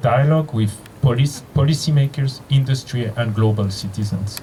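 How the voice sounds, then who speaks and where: With a Geneva accent, a man speaks at a moderate pace in a medium pitch, with ordinary pitch variation. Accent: Geneva French-Swiss. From Switzerland, Geneva. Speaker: physicist and university leader. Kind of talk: opening speech. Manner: halting, with fillers and restarts.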